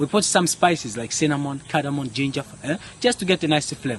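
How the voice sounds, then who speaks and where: In an East African accent, a man with a fairly high pitch speaks at a fairly quick pace against noticeable background noise. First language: Swahili. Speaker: spice farm tour guide. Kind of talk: guided tour explanation. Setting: outdoors on a spice farm.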